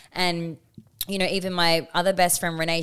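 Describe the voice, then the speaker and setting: With an Australian accent, a woman speaks at a fairly low pitch on a very clean recording with a silent background. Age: 20s. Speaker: podcast co-host. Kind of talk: casual chat.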